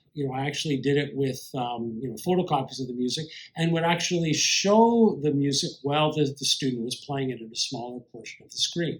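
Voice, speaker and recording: A man's fairly high-pitched voice at a fairly quick pace, ordinary pitch variation, hardly any pauses, and audible room echo. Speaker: composer and piano teacher. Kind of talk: lecture. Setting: online conference video. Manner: loud, strongly inflected stage voice; many fillers and repetitions.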